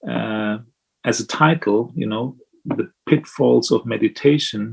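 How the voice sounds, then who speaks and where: Music plays in the background as a man speaks with a German accent. His pace is fairly slow. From Germany. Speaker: Buddhist monk. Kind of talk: dharma talk. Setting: video call.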